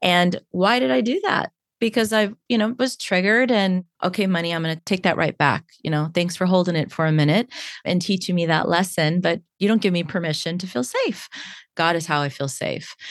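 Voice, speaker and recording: Dry and close with no echo, a woman's fairly low, an unremarkable speaking voice moves at a fairly quick pace with ordinary pitch variation. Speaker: hypnotherapist and coach. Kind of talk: casual interview chat.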